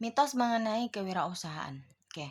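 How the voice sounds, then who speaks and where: A woman speaks with lively intonation at a moderate pace. Her voice is somewhat breathy. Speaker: online tutor. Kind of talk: online tutorial lecture. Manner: casual with many fillers.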